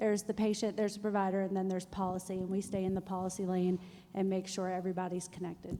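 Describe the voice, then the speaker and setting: A woman talks at a very fast pace with flat, monotone intonation. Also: medium pitch for a woman. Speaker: health policy nonprofit director. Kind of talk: panel discussion. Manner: loud.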